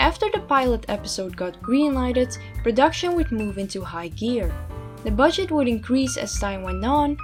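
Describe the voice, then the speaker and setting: The speaker has a non-native accent. Music plays in the background. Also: woman. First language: not English. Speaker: video essayist. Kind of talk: video essay narration. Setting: low-quality home microphone.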